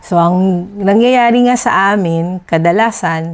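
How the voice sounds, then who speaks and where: Medium pitch from a woman, very cleanly recorded against a silent background. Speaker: dentist and patient. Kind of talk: testimony. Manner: steady.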